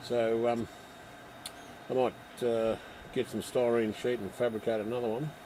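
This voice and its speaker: A man mumbles in an Australian accent at a moderate pace and medium pitch. His intonation is monotone and flat, with long, frequent pauses. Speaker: model railway hobbyist livestreamer. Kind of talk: casual chat. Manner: mumbling; soft-spoken.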